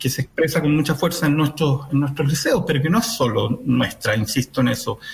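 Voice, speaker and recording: Hardly pausing, a man with a fairly high voice speaks at a fairly quick pace with ordinary pitch variation over noticeable background noise. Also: very even loudness. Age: 50s. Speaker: municipal education official. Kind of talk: radio interview.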